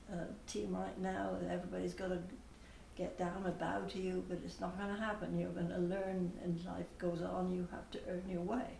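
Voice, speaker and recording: A woman is heard with audible room echo. Noticeable background noise runs under her voice. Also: moderate pace. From England, Bath, Somerset. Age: 80s+. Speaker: parishioner. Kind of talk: interview.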